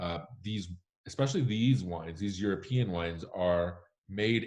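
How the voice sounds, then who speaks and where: Against a quiet background, a man with a fairly low pitch speaks at a moderate pace with ordinary pitch variation. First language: Spanish. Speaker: wine critic. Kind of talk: Q&A answer.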